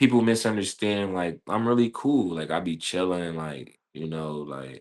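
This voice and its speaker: Very deep, low pitch from a man, with lively intonation, big swings in loudness and a moderate pace. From Philadelphia, US. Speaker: professional basketball player. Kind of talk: casual interview.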